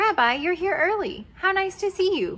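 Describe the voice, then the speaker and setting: This is a put-on character voice that sounds squeaky. It moves at a moderate pace. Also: woman. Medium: read story.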